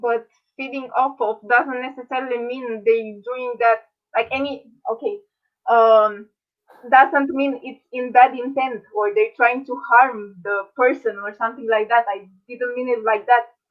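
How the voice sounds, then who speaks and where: The woman's pitch is high, with ordinary variation. She talks at a fairly slow pace, her loudness swinging widely. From Romania. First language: Romanian. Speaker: medical student, debater. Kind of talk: debate. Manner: halting, searching for words.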